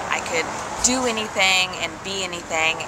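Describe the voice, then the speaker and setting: Over loud background noise, a woman speaks with ordinary pitch variation. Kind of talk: interview answer. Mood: animated, laughing, nervous recollection. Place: tent. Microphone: phone near.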